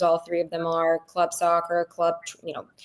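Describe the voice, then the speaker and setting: Delivered with an American accent, this ordinary speaking voice keeps to a moderate pace. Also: woman. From Ukraine, then Brooklyn, New York. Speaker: tech entrepreneur and parent. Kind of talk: podcast interview.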